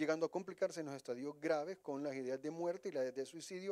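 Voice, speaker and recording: A man speaks very fast in a dark, mellow tone. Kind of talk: interview answer. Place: office. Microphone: handheld.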